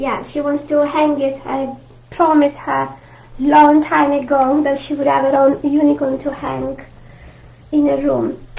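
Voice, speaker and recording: Against noticeable background noise, a woman talks fairly slowly in a high pitch with monotone, flat intonation. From Italy, Rome. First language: Italian. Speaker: art teacher. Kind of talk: live online art tutorial. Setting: live video stream. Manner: friendly, halting with fillers.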